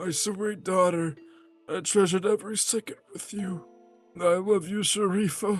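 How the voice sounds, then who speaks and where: A put-on character voice comes through at a middle pitch and moderate pace. Faint music plays in the background. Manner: tender, dying, loving.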